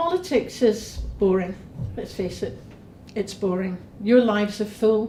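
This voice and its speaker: This woman speaks with a Scottish accent. Her pitch sits fairly high. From Scotland. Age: 60s. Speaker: parliamentary candidate. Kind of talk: campaign speech.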